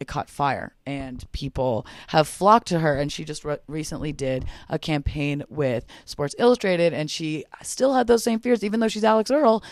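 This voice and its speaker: A woman's fairly low-pitched voice with an animated tone and very wide pitch swings, on a very clean recording with a silent background. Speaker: podcast host. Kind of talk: casual monologue. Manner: fast.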